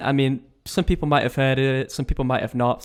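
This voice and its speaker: Talking at a fairly quick pace, the man has a fairly high pitch. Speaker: podcast host. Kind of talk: casual interview podcast. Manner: fast.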